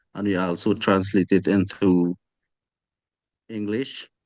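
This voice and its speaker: A man with a Guyanese accent talks at a fairly slow pace. The sound is dry and close with no echo, over a quiet background. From Guyana, Amerindian community. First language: Akawaio. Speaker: class discussion participant. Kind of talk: group discussion. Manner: halting.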